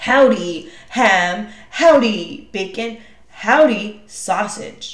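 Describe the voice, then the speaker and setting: Using a put-on character voice, a woman speaks very slowly in a fairly high pitch, with audible echo. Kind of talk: folksy western greeting. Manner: growling, menacing.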